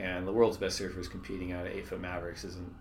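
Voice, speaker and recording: Over audible room echo, a man with a very deep, low and somewhat breathy voice speaks at a fairly quick pace. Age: 30s. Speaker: surf league executive. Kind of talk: casual interview.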